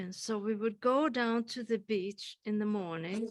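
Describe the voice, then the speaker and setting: A woman speaks with a Swedish accent. Her voice is fairly high in pitch with a bright, sharp tone. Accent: Swedish accent, kept after thirty years. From Sweden. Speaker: poet. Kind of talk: panel discussion.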